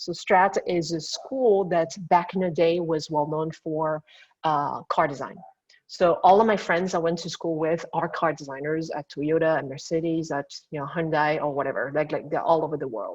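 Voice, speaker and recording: The background is quiet as the speaker talks at a moderate pace in a French accent. The intonation stays fairly even. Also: woman, fairly low pitch for a woman. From France. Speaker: industrial designer. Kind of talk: lecture.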